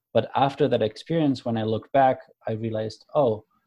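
A man speaks at a moderate pace with a German accent. His tone is dark and mellow. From Germany. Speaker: creator of a conversation card deck. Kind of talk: casual interview conversation.

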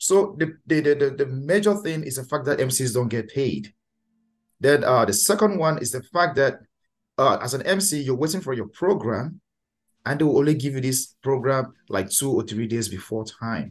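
A man with a Cameroonian accent, lively intonation and a moderate pace. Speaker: master of ceremonies and event host. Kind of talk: casual interview chat.

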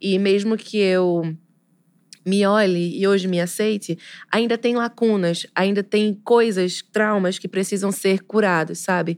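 Speaking at a fairly slow pace, a woman with an ordinary speaking voice keeps a medium pitch and fairly even intonation on a very clean recording with a silent background. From Pernambuco, Brazil. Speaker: poet and literature teacher. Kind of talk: casual interview chat.

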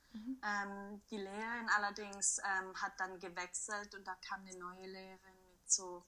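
Very slowly, a woman speaks at a medium pitch with a bright, sharp tone. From Switzerland. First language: Swiss German (speaking German). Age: 20s. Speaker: primary school teacher and yoga practitioner. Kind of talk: interview.

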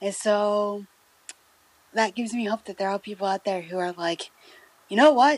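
A woman speaks at medium pitch and a moderate pace with ordinary pitch variation, leaving long, frequent pauses. The sound is dry and close with no echo, though noticeable background noise is present. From US Midwest. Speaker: radio co-host. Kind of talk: casual chat.

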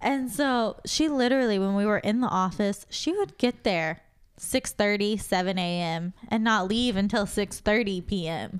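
At a moderate pace, an unremarkable speaking voice comes through with ordinary pitch variation on a very clean recording with a silent background. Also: woman, medium pitch for a woman. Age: 20s. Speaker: podcast co-host. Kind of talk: casual chat.

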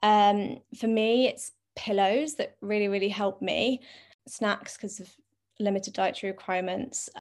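With a London accent, a woman talks at a fairly slow pace in a medium pitch and fairly even intonation. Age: 20s. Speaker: content creator. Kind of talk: casual chat.

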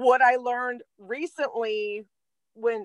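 Here a woman speaks with an American accent. Her pitch varies in an ordinary way, and the sound is dry and close, with no echo. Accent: Delaware accent, deepens at times. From Delaware, US. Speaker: spiritual podcast co-host. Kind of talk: casual spiritual chat. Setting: recording in a van in the cold.

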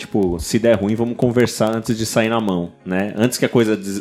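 Fairly quick and fairly even in intonation, a man talks in a plain, everyday voice at a fairly low pitch. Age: 30s. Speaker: podcast producer. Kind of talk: casual chat.

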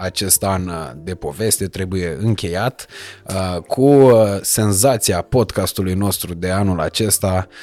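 A man with an unremarkable speaking voice talks at a fairly slow pace in a fairly low pitch, with ordinary pitch variation. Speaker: podcast host. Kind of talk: casual chat; scripted sponsor intro. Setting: penthouse set.

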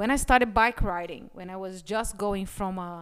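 At a medium pitch and moderate pace, a woman with a non-native accent speaks with fairly even intonation. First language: not English. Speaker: business podcast co-host, former corporate employee. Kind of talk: casual chat.

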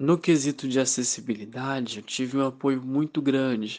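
His pitch sits in the middle range for a man, and he talks at a fairly unhurried pace. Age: young. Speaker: law student. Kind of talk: interview testimony. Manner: halting, with fillers.

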